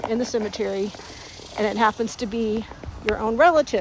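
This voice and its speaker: Fairly quick speech with a Texan accent, a dry sound with no echo and light background noise. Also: woman. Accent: Texan Southern US. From Texas. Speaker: vlogger. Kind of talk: casual talk to camera. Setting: outdoors. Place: open country. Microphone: phone near.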